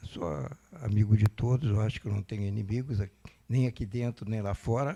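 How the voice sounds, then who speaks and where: A man's somewhat breathy voice, medium in pitch, with a dark, mellow tone, a moderate pace and ordinary pitch variation. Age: 80s+. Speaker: retiree giving testimony. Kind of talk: testimony.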